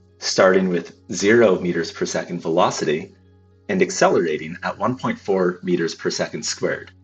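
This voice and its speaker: Music playing behind a voice at a moderate pace. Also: man. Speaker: physics tutor. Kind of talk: physics lesson explanation.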